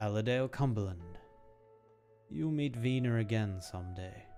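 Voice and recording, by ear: Over faint background music, a man does a resonant, put-on character voice at medium pitch and a moderate pace, with ordinary pitch variation.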